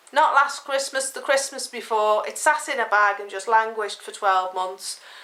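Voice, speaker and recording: A woman's high-pitched voice with big swings in loudness, over noticeable background noise. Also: ordinary pitch variation, moderate pace. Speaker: knitting podcaster. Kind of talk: casual chat.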